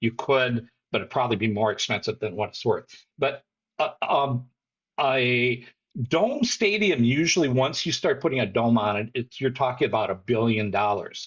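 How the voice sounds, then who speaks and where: A somewhat breathy man talks at a moderate pace. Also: medium pitch for a man, ordinary pitch variation. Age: 60s. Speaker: soccer fan and commentator. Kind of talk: casual chat.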